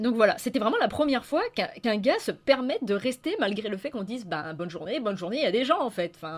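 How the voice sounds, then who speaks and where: At a very fast pace, a woman with a fairly high pitch swings very widely in pitch over noticeable background noise. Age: young. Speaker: YouTuber. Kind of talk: casual monologue. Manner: improvised, hesitant.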